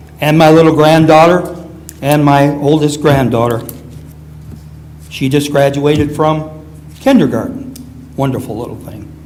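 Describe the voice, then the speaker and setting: A man with an American accent speaks at a moderate pace in a fairly high voice with fairly even intonation, long, frequent pauses and big swings in loudness. The recording has audible room echo and noticeable background noise. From Romulus, Michigan, US. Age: 80s+. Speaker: former city councilman, resident. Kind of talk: public comment at city council meeting. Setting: council chambers.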